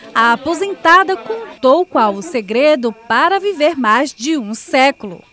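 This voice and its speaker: Over music in the background, a woman speaks fairly slowly at a high pitch with very wide pitch swings. She hardly pauses at all. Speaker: TV news reporter. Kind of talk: TV news narration.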